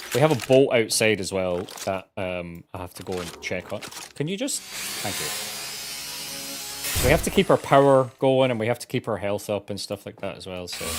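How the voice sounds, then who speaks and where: Over music in the background, a man with a fairly low pitch talks at a moderate pace, his loudness swinging widely and his pitch varying in an ordinary way. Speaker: gaming streamer. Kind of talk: live gameplay commentary.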